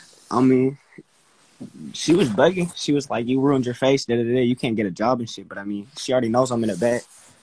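A man with an American accent talks at a very fast pace, with ordinary pitch variation. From US West Coast. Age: 20s. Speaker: aspiring rapper; guest. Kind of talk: casual chat. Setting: video call. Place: home room. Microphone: phone near.

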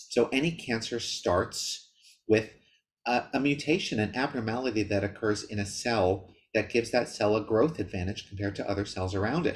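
A man's somewhat breathy voice with ordinary pitch variation. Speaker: presenter. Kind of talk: lecture. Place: home room. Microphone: webcam.

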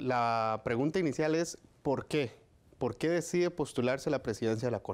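This man speaks at a moderate pace, keeping his loudness very even and his pitch variation ordinary. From Costa Rica. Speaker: news reporter. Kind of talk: news interview. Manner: formal. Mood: calm, formal. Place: office. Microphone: lapel.

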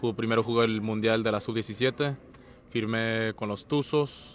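Light background noise runs under the speech. The pace is fairly slow and the sound is dry with no echo. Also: man. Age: 20s. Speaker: professional soccer goalkeeper. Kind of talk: interview. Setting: stadium, team presentation event. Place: stadium. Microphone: handheld.

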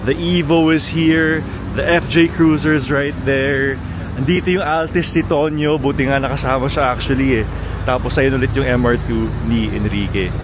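Against noticeable background noise, a man talks at a moderate pace with fairly even intonation and a dry sound with no echo. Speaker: car vlogger. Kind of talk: casual vlog chat. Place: street. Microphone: phone near.

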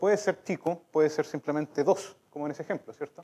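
A man talks. His pace is fairly quick. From southern Chile, La Unión (Los Ríos); Los Ríos, Chile. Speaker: mathematician; speaker. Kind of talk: lecture. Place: hall.

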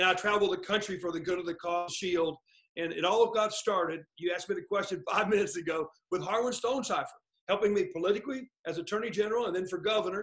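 A man with a high pitch and an American accent, talking at a very fast pace over a quiet background. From Oklahoma. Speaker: lawyer and former state attorney general. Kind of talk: interview. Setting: video call. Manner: fast talker; animated. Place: home room. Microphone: webcam.

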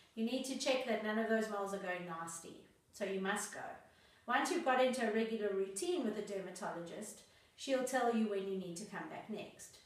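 Lively intonation marks this woman's fairly high voice as she talks at a fairly quick pace. Audible room echo is present. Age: 40s. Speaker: lifestyle vlogger. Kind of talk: tutorial. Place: home room.

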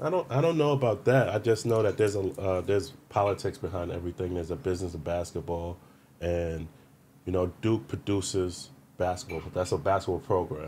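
In a New York accent, a man speaks at a fairly quick pace with a very deep, low pitch, a dark, mellow tone, a somewhat breathy quality and ordinary pitch variation, over light background noise. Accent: New York City. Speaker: former pro basketball player; podcast guest. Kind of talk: casual interview. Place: studio. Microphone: studio mic.

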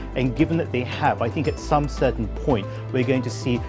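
Clear music plays in the background. Over it, a man speaks with a fairly low pitch. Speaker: remote guest commentator. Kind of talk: interview answer. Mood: earnest, sympathetic. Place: studio. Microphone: lapel.

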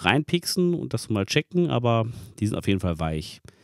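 A man at a moderate pace, dry sound with no echo, quiet background. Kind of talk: tutorial. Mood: cheerful, relaxed. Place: kitchen. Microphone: phone near.

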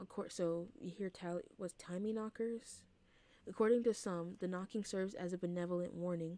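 The recording holds an unforced reading voice.

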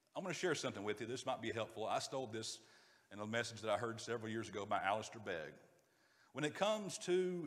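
Talking at a very fast pace, a man speaks in a Southern US accent. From US South, North Georgia; Georgia. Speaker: preacher. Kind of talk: sermon. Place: church.

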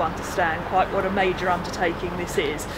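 Through loud background noise, a woman talks at a very fast pace. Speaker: hospital director. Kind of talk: interview answer. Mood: upbeat, proud. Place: garden.

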